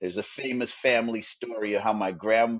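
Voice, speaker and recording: This man has an ordinary speaking voice, pitched fairly low, and talks at a moderate pace. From Trinidad, raised in rural Canada. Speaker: author and broadcaster. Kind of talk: interview answer.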